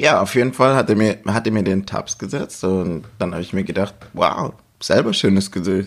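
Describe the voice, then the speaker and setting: A man at a fairly low pitch, a plain, everyday voice, moderate pace and ordinary pitch variation. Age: 30s. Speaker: podcast guest. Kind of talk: casual chat. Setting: at the guest's home in Stuttgart.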